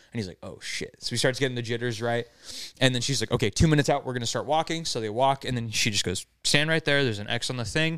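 A man's medium-pitched voice at a very fast pace, on a very clean recording with a silent background. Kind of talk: casual chat.

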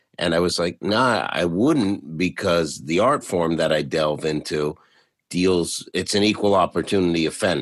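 Very deep and low, a man's voice carries vocal fry and ordinary pitch variation on a very clean recording with a silent background. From Canada, Toronto. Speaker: podcast host and stand-up comedian. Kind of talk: interview.

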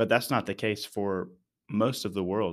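A man with an ordinary speaking voice and an American accent speaks at a moderate pace with a fairly low pitch and fairly even intonation, in a very clean recording with a silent background. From Texas, Dallas-Fort Worth area. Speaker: church missions leader. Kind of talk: casual interview.

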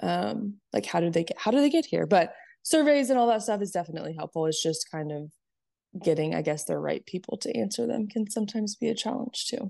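A woman's medium-pitched voice in an American accent, dark and mellow with vocal fry, very wide pitch swings and a very fast pace, over a quiet background. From California. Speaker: podcast host. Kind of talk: casual interview chat.

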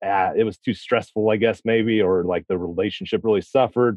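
The pitch of this man's voice is fairly low. He speaks at a moderate pace with fairly even intonation. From US Midwest, Missouri. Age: 30s. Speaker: loan processor, listener guest. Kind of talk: casual chat.

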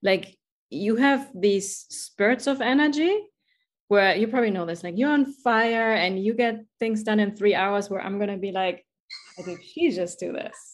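A woman's medium-pitched, enthusiastic voice in a German accent, fairly slow, with ordinary pitch variation and a quiet background. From Germany. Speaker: podcast host, life coach. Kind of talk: interview conversation. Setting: video call.

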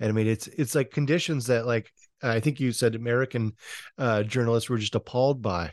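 A man with a plain, everyday voice and medium pitch talks at a fairly quick pace, the sound dry and close with no echo and a quiet background. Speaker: podcast host. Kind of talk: interview.

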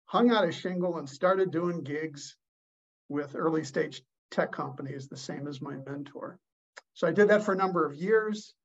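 This man has a plain, everyday voice, fairly high in pitch, with ordinary pitch variation and big swings in loudness. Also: moderate pace. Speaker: leadership expert and author. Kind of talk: casual interview.

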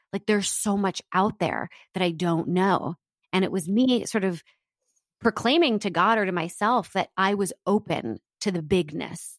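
A plain, everyday voice from a woman with an American accent, medium pitch, ordinary pitch variation and a fairly slow pace, in a very clean recording with a silent background and a dry, close sound with no echo. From US East Coast. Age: 30s. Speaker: entrepreneur and author. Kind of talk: interview.

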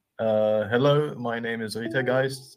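A man speaks with an Arabic accent. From Iraq. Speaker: livestream guest. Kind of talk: casual chat. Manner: halting.

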